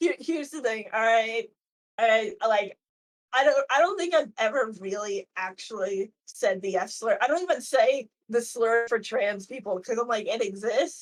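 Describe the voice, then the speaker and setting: A woman speaks in a normal speaking voice at a moderate pace. Her pitch is fairly high. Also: lively intonation. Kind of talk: casual chat.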